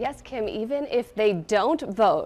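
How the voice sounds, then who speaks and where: Fairly high in pitch, a woman uses ordinary pitch variation in an ordinary speaking voice. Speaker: television news anchor and reporter. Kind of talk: broadcast news anchoring and live reporting.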